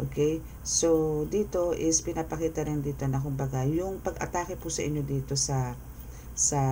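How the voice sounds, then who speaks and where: At a moderate pace, a soft-spoken man talks. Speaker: tarot reader. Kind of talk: tarot reading.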